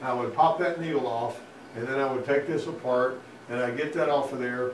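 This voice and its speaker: With a Southern US accent, the speaker keeps a fairly even intonation. Audible room echo and noticeable background noise surround the voice. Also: man. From US South, Alabama. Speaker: auto mechanic instructor. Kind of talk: technical presentation to a class. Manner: conversational, folksy.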